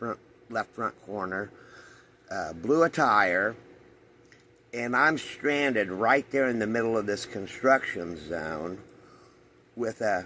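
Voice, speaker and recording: A man's medium-pitched voice has a bright, sharp tone and lively intonation. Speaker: vlogger, coin dealer. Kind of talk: casual vlog storytelling. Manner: slurred.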